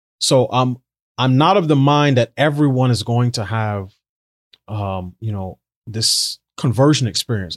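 A man with a plain, everyday voice speaks at a medium pitch with lively intonation, in a very clean recording with a silent background and a dry, close sound with no echo. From New York City, Barbadian immigrant parents. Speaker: social policy writer and commentator. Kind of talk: interview conversation.

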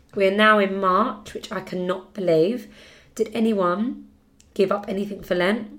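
A woman with a British accent, medium pitch, monotone flat intonation and a moderate pace, plus audible room echo. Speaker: podcast host. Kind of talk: casual chat.

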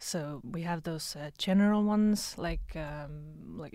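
A woman speaks with a dark, mellow tone, fairly low in pitch and fairly even in intonation. The recording is very clean, with a silent background. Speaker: university Erasmus office staff member. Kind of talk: informative explanation in interview. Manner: hesitant, many fillers.

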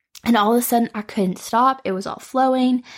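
A woman speaks at a very fast pace in a warm tone with ordinary pitch variation. The recording is very clean, with a silent background. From US Midwest, Metro Detroit. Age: 20s. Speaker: podcast host. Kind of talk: solo podcast monologue. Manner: warm, casual, with frequent laughs.

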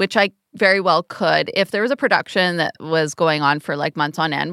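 In a very clean recording with a silent background and a dry, close sound free of echo, a woman speaks at a fairly quick pace with a bright, sharp tone, a fairly low pitch, and ordinary pitch variation. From Canada. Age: middle-aged. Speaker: choreographer. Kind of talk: casual chat.

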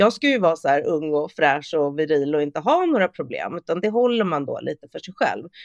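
In a plain, everyday voice, a woman with a fairly low pitch talks at a fairly quick pace with hardly any pauses and lively intonation, recorded dry and close with no echo against a quiet background. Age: 40s. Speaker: sustainability consultant and influencer. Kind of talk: casual interview.

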